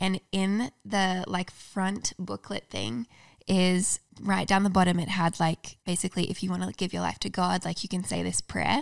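Recorded very cleanly against a silent background, a woman speaks with an Australian accent. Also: moderate pace. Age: 20s. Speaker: YouTuber and author. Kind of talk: casual interview chat.

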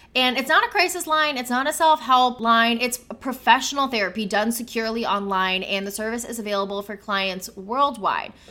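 Speaking at a fairly quick pace with hardly any pauses, a woman uses a normal speaking voice. Her pitch is fairly high, with ordinary pitch variation. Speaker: podcast host and interviewer. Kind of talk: casual chat.

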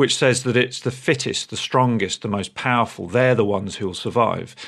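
A man speaks at medium pitch with an English accent. His pitch variation is ordinary. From England. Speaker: listener with a question. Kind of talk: recorded voicemail question.

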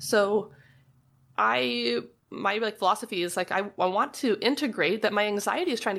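The speaker keeps a moderate pace, with vocal fry throughout. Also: woman. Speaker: licensed marriage and family therapist. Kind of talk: casual interview chat. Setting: trailer studio.

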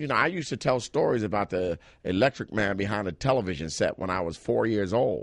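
Against a quiet background, a voice with vocal fry moves at a fairly quick pace with lively intonation. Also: man. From Philadelphia. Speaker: stand-up comedian. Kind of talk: casual interview chat.

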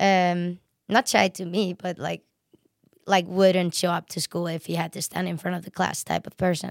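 With an Icelandic accent, a woman speaks at a moderate pace in a fairly low, flat monotone, recorded very cleanly against a silent background with a dry, close sound and no echo. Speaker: professional snowboarder. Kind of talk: casual chat. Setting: studio. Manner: talkative.

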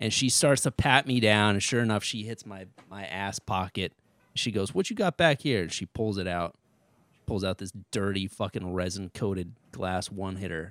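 A man with an American accent and a plain, everyday voice talks at a moderate pace, fairly low in pitch with ordinary pitch variation, on a very clean, dry, close recording with a silent background and no echo. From Connecticut (Ridgefield). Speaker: stand-up comedian. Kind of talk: casual chat.

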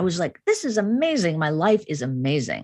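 Against a quiet background, a woman with a Chicago accent speaks at a moderate pace in a fairly low voice with very wide pitch swings. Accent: American, Chicago. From US Midwest (Chicago), Indian family. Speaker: psychology professor. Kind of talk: interview.

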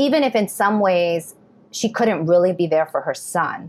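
Speaking fairly slowly, a woman uses an ordinary speaking voice with an American accent, fairly low in pitch with ordinary pitch variation. The recording is very clean, with a silent background. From New York City. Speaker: novelist and professor. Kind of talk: interview.

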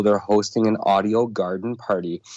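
This man has an unremarkable speaking voice at a medium pitch with ordinary pitch variation, recorded against a quiet background. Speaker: audiobook host. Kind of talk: casual chat.

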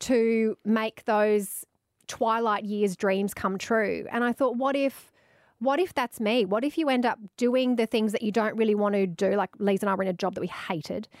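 A woman with an Australian accent talks at a moderate pace and fairly high pitch, with ordinary pitch variation and very even loudness, in a very clean, dry, close recording with no echo and a silent background. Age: 40s. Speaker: radio host and author. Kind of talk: casual interview chat.

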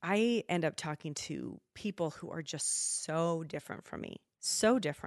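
A woman with an American accent speaks at a fairly low pitch and a moderate pace, with ordinary pitch variation, in a dry, close sound with no echo. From US Pacific Northwest, Spokane. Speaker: podcast host and social media creator. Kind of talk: casual chat.

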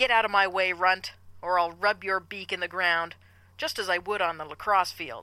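Growling in a put-on character voice, a female-sounding voice holds a medium pitch for a woman on a very clean recording with a silent background. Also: moderate pace. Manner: snarling, aggressive, threatening.

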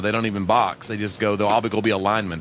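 Against noticeable background noise, a man speaks very fast at a fairly low pitch. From Tennessee (Knoxville). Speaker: radio show host. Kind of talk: casual chat. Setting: studio.

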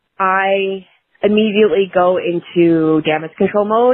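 A woman with an unremarkable speaking voice talks at medium pitch. Her intonation is fairly even. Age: 30s. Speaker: listener leaving a voicemail. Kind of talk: recorded voicemail question.

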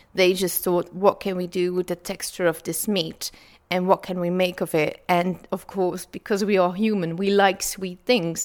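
A woman speaks with a Dutch accent. Her intonation is monotone and flat. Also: medium pitch for a woman, moderate pace. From Flanders, Belgium. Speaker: food historian and author. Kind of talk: interview.

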